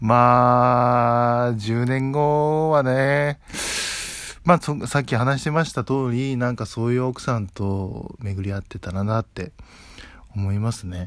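At a very slow pace, a man with a medium pitch speaks with ordinary pitch variation. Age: 20s. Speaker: podcaster. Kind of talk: solo casual talk. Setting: at home. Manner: relaxed.

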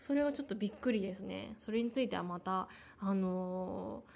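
Mumbling at a moderate pace, a woman talks at a medium pitch with ordinary pitch variation. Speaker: podcaster. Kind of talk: personal monologue. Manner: halting, many fillers; mumbled articulation.

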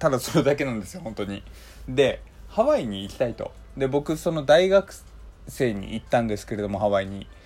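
A man of medium pitch with lively intonation and a fairly quick pace, music in the background. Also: big swings in loudness. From Hokkaido, Japan. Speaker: podcast host. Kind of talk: casual solo monologue.

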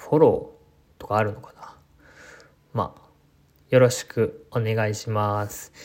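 A fairly slow delivery broken by long, frequent pauses. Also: man, big swings in loudness. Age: 20s. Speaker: podcaster and landscape designer. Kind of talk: casual solo talk. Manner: halting, many fillers.

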